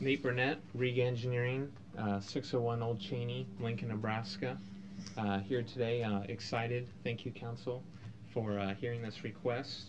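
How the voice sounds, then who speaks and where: Amid noticeable background noise, a man talks at a moderate pace with fairly even intonation. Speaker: engineer presenting to council. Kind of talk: public testimony. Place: hall. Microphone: podium.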